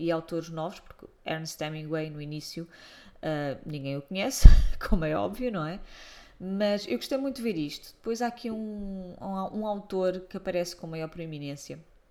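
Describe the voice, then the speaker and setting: A woman's dark, mellow, fairly low voice with lively intonation, a European Portuguese accent and a moderate pace. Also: big swings in loudness. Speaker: book blogger. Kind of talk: book review monologue. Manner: hesitant, many fillers.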